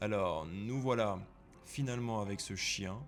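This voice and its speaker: Music plays in the background as a man with a fairly low pitch speaks at a very slow pace with lively intonation. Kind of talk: vlog voice-over narration. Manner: casual, joking.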